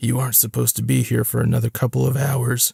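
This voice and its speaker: Using a raspy, put-on character voice, a man talks at a very fast pace with a medium pitch. The sound is dry and close, with no echo. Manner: menacing, sardonic.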